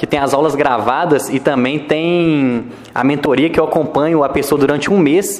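Noticeable background noise sits behind this man. He speaks at a moderate pace with a fairly high pitch. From Minas Gerais, Brazil (Ponte Nova). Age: 20s. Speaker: e-commerce entrepreneur. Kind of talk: podcast interview.

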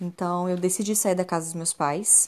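Her pitch fairly low, a woman speaks with fairly even intonation on a very clean recording with a silent background. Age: 30s. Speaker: therapist and podcast host. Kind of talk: personal monologue podcast. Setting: recording alone at home at night.

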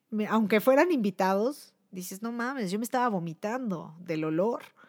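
Speaking with a Mexico City accent, a woman with a medium-pitched voice sounds animated, her pitch swinging very widely at a fairly slow pace in a dry, close sound with no echo. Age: 30s. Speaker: podcast host and musician. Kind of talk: casual chat. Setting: live stream.

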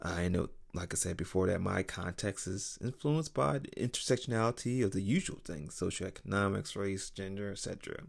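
In an unremarkable speaking voice, a man talks at a fairly low pitch with lively intonation and hardly any pauses, on a very clean recording with a silent background. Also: fairly quick pace. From US, North Philadelphia. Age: 30s. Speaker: podcast host. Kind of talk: solo monologue podcast. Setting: home recording late at night.

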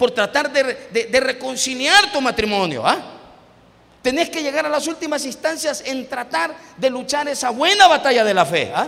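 A man projects his voice in an extremely high pitch with lively intonation. Noticeable background noise runs underneath. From El Salvador. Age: 50s. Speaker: pastor. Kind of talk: sermon. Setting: church.

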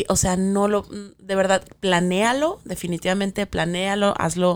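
A woman with a Mexican accent and a medium pitch, on a very clean recording with a silent background. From Mexico City. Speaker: podcast co-host. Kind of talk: casual chat.

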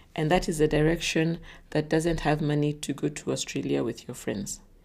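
The pace is moderate on a very clean recording with a silent background. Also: woman. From Kenya, Nairobi. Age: 40s. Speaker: podcast host. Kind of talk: solo podcast monologue. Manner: hesitant, frequent fillers; laughs often.

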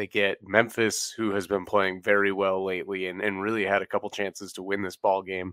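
A man speaks at a moderate pace and a fairly low pitch, his tone bright and sharp. The recording is very clean with a silent background, the sound dry and close with no echo. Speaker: sports podcast host. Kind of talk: casual sports talk.

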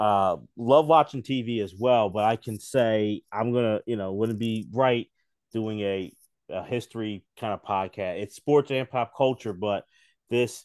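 A man with a normal speaking voice in an American accent, medium in pitch, at a fairly slow pace with fairly even intonation. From US, Philadelphia. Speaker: sports podcaster. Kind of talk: casual chat.

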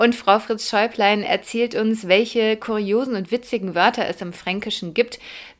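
Over noticeable background noise, a woman with a fairly high pitch speaks at a moderate pace with ordinary pitch variation and hardly any pauses. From Würzburg, Lower Franconia. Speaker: podcast host. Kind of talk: interview; scripted introduction.

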